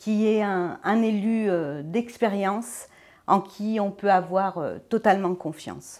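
A woman speaks at a very slow pace with a medium pitch. The background is quiet. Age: 50s. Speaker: deputy mayor and civil servant, election candidate; deputy mayor, election candidate. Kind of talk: campaign interview. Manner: hesitant, many fillers. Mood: calm, positive. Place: studio.

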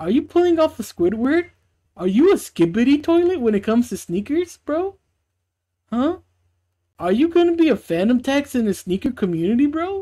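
Someone performs a put-on character voice at a moderate pace with very wide pitch swings. Long, frequent pauses break up the delivery. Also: woman, high pitch for a woman. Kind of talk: mock YouTube review intro. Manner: mocking, playful, escalating.

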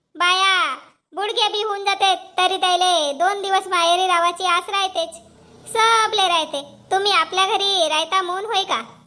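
In a cartoonish character voice, a woman talks fairly slowly at an extremely high pitch with fairly even intonation. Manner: chatty, rambling.

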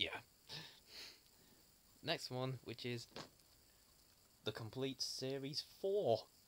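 At a very slow pace, a man talks with lively intonation and a medium pitch. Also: fairly bright tone.

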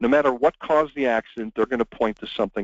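An unforced reading voice. The pitch varies in an ordinary way.

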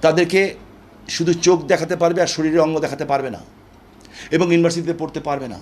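A man's high voice holds a fairly even intonation. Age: 60s. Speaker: political speaker. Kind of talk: interview. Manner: impassioned.

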